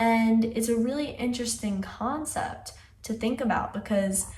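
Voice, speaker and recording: A somewhat breathy woman's voice with ordinary pitch variation and audible room echo. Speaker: music video reaction youtuber. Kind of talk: video analysis commentary. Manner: casual, conversational.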